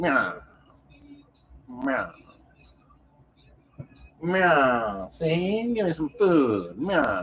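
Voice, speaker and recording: This is a put-on character voice at a middle pitch. It moves at a very slow pace, with long, frequent pauses. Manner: tough, gruff.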